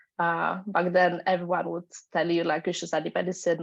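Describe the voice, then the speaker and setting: Against a quiet background, a woman with a Polish accent speaks in a monotone, flat delivery. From Poland. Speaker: panelist. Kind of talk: panel discussion.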